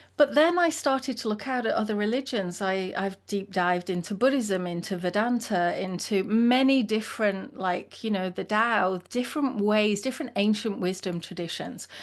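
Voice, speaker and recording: At a moderate pace and with hardly any pauses, a woman talks in a fairly high pitch with lively intonation. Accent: English. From England. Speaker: leadership consultant and founder. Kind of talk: interview conversation.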